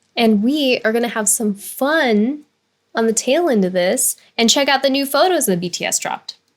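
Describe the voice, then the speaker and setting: Lively intonation at a moderate pace, with an American accent. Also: woman, high pitch for a woman. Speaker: YouTube reaction channel co-host. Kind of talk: casual reaction chat. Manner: articulate.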